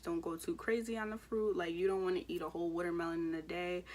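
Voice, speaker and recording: A woman with an American accent talks at a fairly quick pace in a medium pitch. Her intonation is monotone and flat. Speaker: beauty and weight-loss vlogger. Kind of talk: casual vlog talk. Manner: fast.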